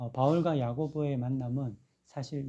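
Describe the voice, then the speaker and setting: Soft-spoken, a man with a medium pitch and a dark, mellow tone talks with fairly even intonation. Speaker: pastor. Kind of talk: sermon. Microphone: no microphone, power outage.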